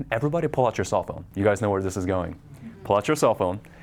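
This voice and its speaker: Loud and with very wide pitch swings, a man speaks. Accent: American. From Southern California. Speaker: marketing presenter. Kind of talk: live presentation to an audience. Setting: room with live audience, no microphone. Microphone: no microphone used.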